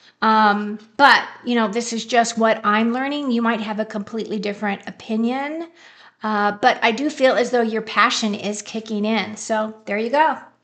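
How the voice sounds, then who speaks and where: A woman talks in a plain, everyday voice, keeping a moderate pace. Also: fairly high pitch for a woman, fairly even intonation. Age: 60s. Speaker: tarot reader. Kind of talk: live stream tarot reading. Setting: live stream. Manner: casual, conversational.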